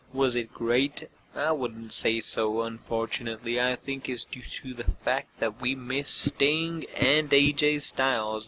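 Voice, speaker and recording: Over noticeable background noise, a man with a medium pitch speaks at a fairly slow pace with fairly even intonation, the sound dry and close with no echo. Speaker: wrestling show reviewer. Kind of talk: show review commentary.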